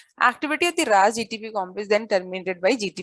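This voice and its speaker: In an Indian accent, a woman with a medium pitch talks at a very fast pace, with a dry, close sound with no echo. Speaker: biology teacher. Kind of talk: lecture.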